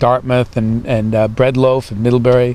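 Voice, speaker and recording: A man's medium-pitched voice with an American accent, fairly even intonation, and noticeable background noise. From New England. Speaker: stage actor. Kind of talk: interview. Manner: halting, many fillers and repeats.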